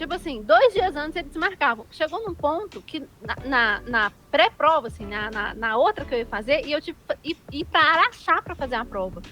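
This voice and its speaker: A woman speaks in a high, raised, projected voice with very wide pitch swings. There is noticeable background noise. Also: moderate pace. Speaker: activist with low vision. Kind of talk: interview. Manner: casual, colloquial.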